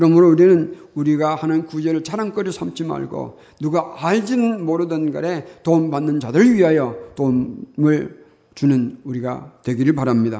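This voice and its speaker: Lively, fairly high-pitched male speech in audible room echo. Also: moderate pace. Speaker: pastor. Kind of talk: sermon.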